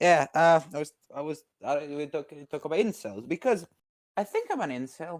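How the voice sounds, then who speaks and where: In a Croatian accent, a man talks at a moderate pace with a fairly high pitch and ordinary pitch variation. His loudness swings widely in a dry, close sound with no echo. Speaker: caller debating on stream. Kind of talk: casual debate chat.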